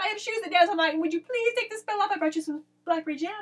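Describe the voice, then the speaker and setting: A woman puts on a squeaky character voice at an extremely high pitch, racing along at a very fast pace with ordinary pitch variation. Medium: read story.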